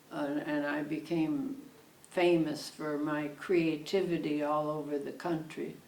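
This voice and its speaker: A woman with an American accent talks at a fairly slow pace, her pitch very deep and low and her intonation monotone and flat. Audible room echo and noticeable background noise surround her. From Connecticut. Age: 90s. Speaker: retired fabric shop owner. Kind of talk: oral history interview. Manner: halting.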